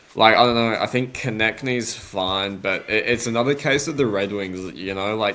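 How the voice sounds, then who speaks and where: Speaking with an Australian accent, a man keeps a moderate pace with hardly any pauses, using a medium pitch and ordinary pitch variation. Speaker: sports podcast co-host. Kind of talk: casual sports chat. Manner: halting, many fillers.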